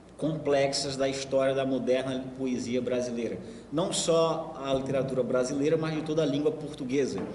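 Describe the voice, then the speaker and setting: With audible room echo and noticeable background noise, a man speaks at a moderate pace in a fairly high pitch, his intonation fairly even. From Maranhão, Brazil. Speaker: writer and lecturer. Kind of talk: lecture. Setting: university lecture hall with audience. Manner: halting, repeats words.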